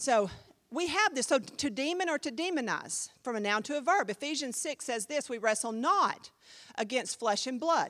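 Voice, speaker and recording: Speaking at a moderate pace in a high pitch, a woman sounds animated, her voice making very wide pitch swings on a very clean recording with a silent background. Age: 50s. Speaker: pastor, Bible class teacher. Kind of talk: Bible class teaching. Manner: animated, conversational.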